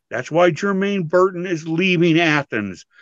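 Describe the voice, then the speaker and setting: A man talks against a quiet background, the sound dry with no echo. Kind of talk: heated debate. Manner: combative, emphatic, repeating phrases for punch. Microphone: video call.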